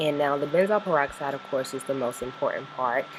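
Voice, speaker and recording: A woman speaks at a very deep, low pitch over noticeable background noise. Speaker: skincare vlogger. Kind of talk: casual talk to camera.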